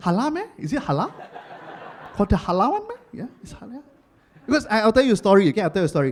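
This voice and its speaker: A man speaks with a Singaporean accent. His intonation is lively. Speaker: stand-up comedian. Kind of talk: live stand-up comedy set.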